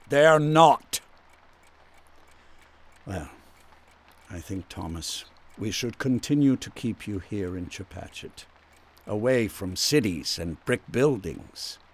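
Putting on a character voice, a man speaks slowly at a fairly low pitch with lively intonation, a slightly husky edge and long, frequent pauses.

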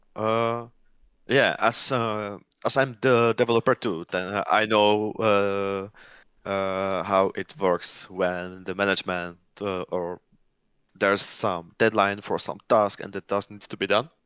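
A man with a Czech accent speaks very slowly at a fairly low pitch with fairly even intonation. The sound is dry and close with no echo over a quiet background. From Czech Republic. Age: 20s. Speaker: gamer and software developer. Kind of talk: casual chat. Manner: halting.

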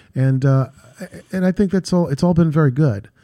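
Moderate pace and ordinary pitch variation in a dark, mellow tone. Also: man. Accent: New York. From New York, Queens / Long Island. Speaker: real estate executive. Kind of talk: radio interview.

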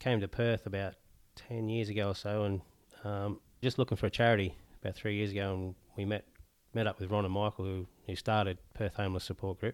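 A man with an Australian accent, fairly low pitch, and monotone, flat intonation, at a very fast pace broken by long, frequent pauses, on a very clean recording with a silent background. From Newcastle, Australia. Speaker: homeless charity president. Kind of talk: casual interview chat. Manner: halting.

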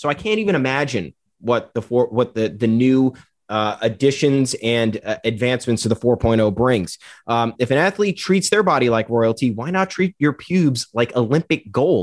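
This man has an ordinary speaking voice, medium in pitch, with lively intonation at a moderate pace. The sound is dry and close with no echo, and the background is quiet. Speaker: guest baseball analyst. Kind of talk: casual sports talk, banter.

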